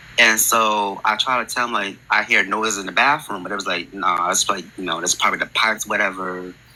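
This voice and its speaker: There is noticeable background noise as a man talks in an American accent. His voice is fairly low and his pace fairly quick. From New Jersey, Newark area. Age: 20s. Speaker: podcast guest sharing a ghost story. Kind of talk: personal storytelling on a call-in podcast. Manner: halting, many fillers.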